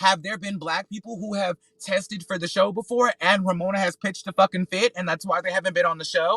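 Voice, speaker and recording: With a raised, projected voice, a man speaks at high pitch in a bright, sharp tone. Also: dry, close sound with no echo. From US South (North Carolina, Georgia). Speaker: solo podcaster and reality TV commentator. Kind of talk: casual commentary livestream. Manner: loud; halting, repeats words.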